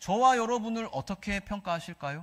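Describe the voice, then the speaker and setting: In a very clean recording with a silent background, a man with a Gyeongsang accent projects a raised voice with a bright, sharp tone, ordinary pitch variation and a moderate pace. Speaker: pastor. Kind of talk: sermon. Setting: church.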